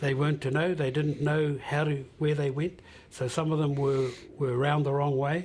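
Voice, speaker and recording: Somewhat breathy speech at a moderate pace with monotone, flat intonation. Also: man. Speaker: Māori elder and descendant. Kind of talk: interview. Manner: halting.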